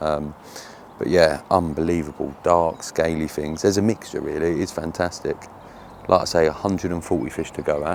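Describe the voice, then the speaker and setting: A man speaks at a fairly quick pace. His voice is very deep and low, with fairly even intonation. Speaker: fishing video presenter. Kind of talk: outdoor walkaround vlog. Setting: outdoors at a fishing lake. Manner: casual, chatty; quiet.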